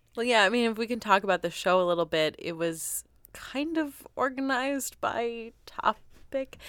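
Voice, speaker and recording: With an animated tone and very wide pitch swings, a woman talks at a moderate pace and fairly high pitch on a very clean recording with a silent background. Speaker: podcast host. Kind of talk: casual chat. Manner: animated, laughing.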